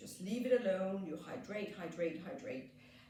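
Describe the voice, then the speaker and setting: A woman at medium pitch with a Danish accent, moderate pace and ordinary pitch variation, amid audible room echo and noticeable background noise. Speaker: skincare therapist, salon owner. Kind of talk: treatment demonstration. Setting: treatment room in salon.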